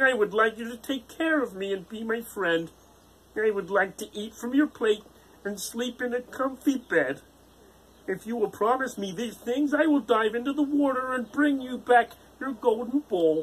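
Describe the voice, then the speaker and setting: This put-on character voice is croaky and fairly high-pitched. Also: moderate pace. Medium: read story. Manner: polite but insistent.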